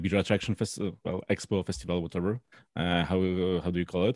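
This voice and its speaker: A man talks in a fairly low pitch with a Polish accent. The sound is dry and close with no echo, over a quiet background. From Poland. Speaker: beer judge and brewer. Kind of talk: casual interview chat. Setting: video call.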